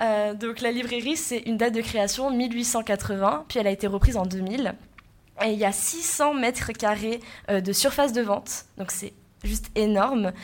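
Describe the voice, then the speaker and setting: A woman speaks at a fairly slow pace in a plain, everyday voice. Her pitch is fairly high, with ordinary variation. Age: 20s. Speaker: student podcast host. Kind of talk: casual discussion.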